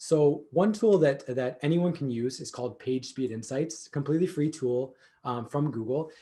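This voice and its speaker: The man's voice is fairly high in pitch, somewhat breathy, and dark and mellow in tone. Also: ordinary pitch variation. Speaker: SEO expert, agency co-founder. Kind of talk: conference presentation. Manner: fast; many filler words and repetitions.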